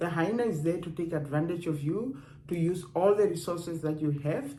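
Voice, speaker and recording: A woman speaks at a fairly quick pace in a fairly low pitch, her dark, mellow tone somewhat breathy, with ordinary pitch variation and audible room echo. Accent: non-native. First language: not English. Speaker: dating and relationships vlogger. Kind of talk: casual advice talk to camera. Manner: conversational, with hesitations.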